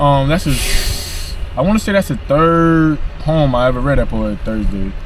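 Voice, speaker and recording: A man with an American accent speaks at a moderate pace. Noticeable background noise and audible room echo surround him. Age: 20s. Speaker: poet. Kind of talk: casual chat. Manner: halting.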